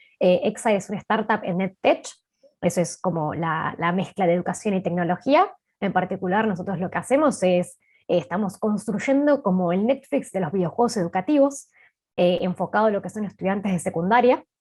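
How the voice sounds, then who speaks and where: A woman's medium-pitched, somewhat breathy voice at a fairly quick pace, with lively intonation, on a very clean recording with a silent background. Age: 20s. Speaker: startup co-founder and marketing chief. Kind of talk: panel interview.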